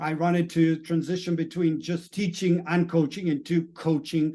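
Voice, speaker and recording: A man speaks in a Spanish accent with a high pitch. His tone is dark and mellow. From Latin America, Spanish-speaking country. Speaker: mindset coach. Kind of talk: video monologue.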